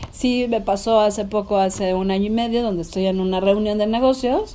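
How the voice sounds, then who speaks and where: A woman speaks at a fairly quick pace with fairly even intonation. Background noise is noticeable. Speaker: businesswoman. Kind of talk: interview.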